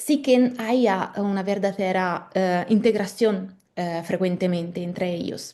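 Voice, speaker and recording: A woman's dark, mellow voice in an Italian accent, medium in pitch with ordinary variation, very slow in pace but with hardly any pauses. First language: Italian (speaking Spanish). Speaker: legal philosopher, postdoctoral researcher. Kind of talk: academic lecture. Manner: halting, with hesitations and self-corrections.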